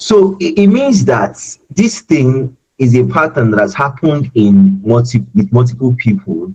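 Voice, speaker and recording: A man's somewhat breathy, dark, mellow voice at a medium pitch, with very wide pitch swings and very even loudness. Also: fairly slow pace. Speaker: self-development speaker. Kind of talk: webinar talk. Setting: online webinar. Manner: tends to raise voice when emotional; halting, many repetitions.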